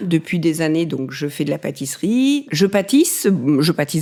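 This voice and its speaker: A woman talks fairly slowly in a very clean recording where the background is silent. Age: 60s. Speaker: retired amateur pastry baker. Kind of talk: interview testimony. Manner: hesitant.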